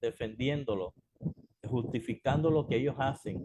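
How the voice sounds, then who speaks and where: A man speaks in a calm tone at a fairly slow pace and a medium pitch. His voice is somewhat breathy, with ordinary pitch variation. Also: dry, close sound with no echo. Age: 60s. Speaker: pastor. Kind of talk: sermon.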